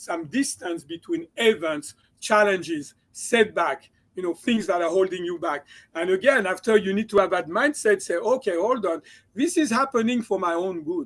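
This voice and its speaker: With a slight French accent, a man talks at a high pitch and a moderate pace, his intonation lively. The recording is very clean, with a silent background. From France. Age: 60s. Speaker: chiropractor and mindset coach. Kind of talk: interview.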